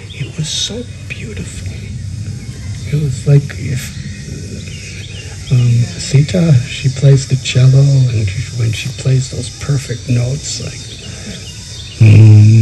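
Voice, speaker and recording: With music in the background and audible room echo, a man at a medium pitch speaks at a very slow pace, using ordinary pitch variation and long, frequent pauses. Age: 70s. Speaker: spiritual teacher. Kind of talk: spiritual discourse.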